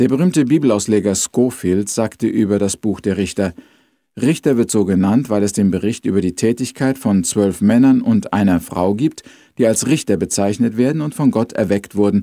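A man talks at a moderate pace with a fairly low pitch and a dark, mellow tone. His pitch varies normally, and the sound is dry with no echo over a quiet background. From Austria. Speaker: radio missionary, Bible teacher. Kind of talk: Bible overview talk. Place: home room. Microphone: studio mic.

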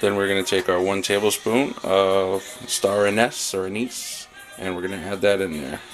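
Clear music plays in the background. Over it, a man with a fairly low voice talks at a moderate pace. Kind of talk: tutorial. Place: kitchen. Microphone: phone near.

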